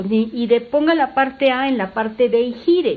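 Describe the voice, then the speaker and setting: Her voice is high, and this woman speaks at a moderate pace with lively intonation. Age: 60s. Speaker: doctor and sex educator. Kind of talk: podcast interview. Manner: animated.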